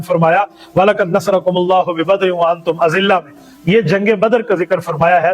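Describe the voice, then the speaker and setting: A high-pitched man with ordinary pitch variation, music in the background. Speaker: Islamic scholar / mufti. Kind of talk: religious sermon summarizing a Quran chapter.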